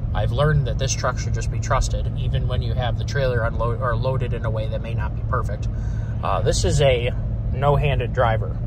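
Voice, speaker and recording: Loud background noise surrounds a man who speaks at a moderate pace, with a dry sound and no echo. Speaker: farmer vlogger. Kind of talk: casual vlog chat. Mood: relaxed, pleased. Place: car. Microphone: phone near.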